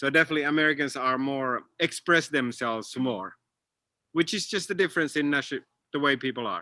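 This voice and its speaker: In a Finnish accent, a man speaks at a fairly quick pace with a bright, sharp tone, the sound dry and close with no echo. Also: fairly high pitch for a man, ordinary pitch variation, quiet background. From Finland. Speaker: comedian. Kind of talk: panel Q&A.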